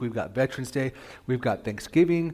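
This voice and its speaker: A man speaks softly and at a very fast pace. His pitch varies in an ordinary way. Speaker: pastor. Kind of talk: sermon. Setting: church with PA system and livestream. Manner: soft-spoken.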